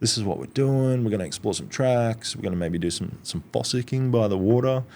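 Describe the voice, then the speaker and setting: A man with an Australian accent, a dark, mellow tone, medium pitch, ordinary pitch variation and a fairly quick pace. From Australia, Brisbane area. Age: 30s. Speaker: outdoor social group founder, former chef. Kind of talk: casual chat.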